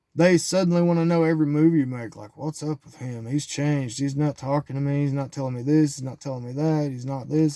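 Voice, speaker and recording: The delivery runs at a very fast pace with hardly any pauses. Intonation stays fairly even throughout. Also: man. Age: 40s. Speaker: vlogger sharing personal life lessons. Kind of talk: personal monologue. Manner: halting.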